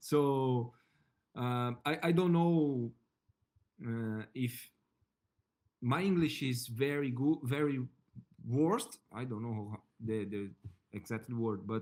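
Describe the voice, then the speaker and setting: Speaking at a very slow pace with long, frequent pauses, a man with a medium pitch shows ordinary pitch variation. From Brazil. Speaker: English student, logistics worker. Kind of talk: tutoring session. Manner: halting.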